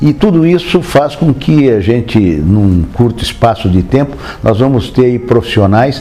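Speaking at a very slow pace with lively intonation, a man is heard through noticeable background noise. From Brazil, interior of São Paulo state (Marília). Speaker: physician. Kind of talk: oral history interview. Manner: hesitant, with many fillers.

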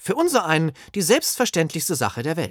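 A man moves through very wide pitch swings at a moderate pace. The recording is very clean, dry and close, with no echo and a silent background. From northern Germany, Holstein. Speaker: author. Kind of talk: reading aloud.

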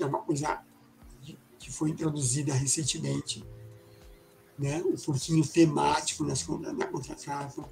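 A man's fairly slow speech comes with noticeable background noise. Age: 60s. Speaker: illustrator and graphic designer. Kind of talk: casual interview chat. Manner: halting, many fillers.

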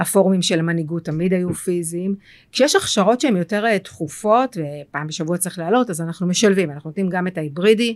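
A woman speaks in an unremarkable speaking voice, fairly low in pitch, with ordinary pitch variation and hardly any pauses, on a very clean recording with a silent background. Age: 40s. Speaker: tech company CEO. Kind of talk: interview.

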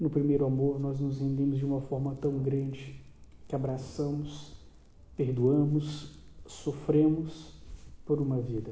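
A man's fairly high, somewhat breathy voice, monotone and flat, at a fairly slow pace with long, frequent pauses. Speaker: preacher. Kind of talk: sermon, preacher in full flow, urgent exhortation and call to repentance. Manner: fervent, emphatic, pleading and rising in intensity.

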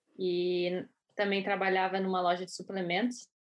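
At a moderate pace, a woman of medium pitch speaks with monotone, flat intonation. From southern Brazil (Rio Grande, Rio Grande do Sul). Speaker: skeleton athlete. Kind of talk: interview.

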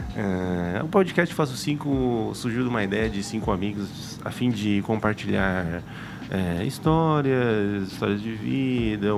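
With lively intonation and a fairly low pitch, a man speaks at a fairly slow pace amid audible room echo and noticeable background noise. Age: 20s. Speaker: podcast host. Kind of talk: casual chat. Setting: studio.

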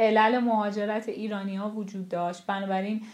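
With monotone, flat intonation, a woman speaks at a moderate pace in a fairly high pitch. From Iran, Tehran. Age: 30s. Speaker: sculptor. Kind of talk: interview.

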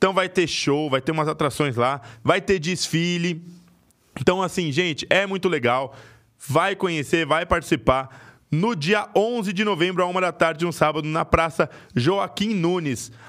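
A man with a high pitch and ordinary pitch variation talks at a fairly slow pace in a very clean recording with a silent background. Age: 20s. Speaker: podcast co-host. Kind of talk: casual chat; sales pitch.

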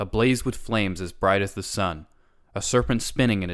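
This is plain reading aloud. Nothing else is marked.

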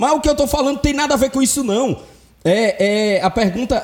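A man's pitch swings very widely as he talks at a moderate speed, with background noise clearly present. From Brazil, Ceará (Fortaleza). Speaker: podcast host. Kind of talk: casual chat.

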